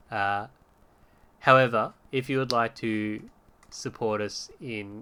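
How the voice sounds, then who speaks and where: A man speaks in a strong Australian accent with a medium pitch. His tone is bright and sharp, and his pitch varies in an ordinary way. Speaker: podcast host. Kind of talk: casual chat. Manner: hesitant, many fillers.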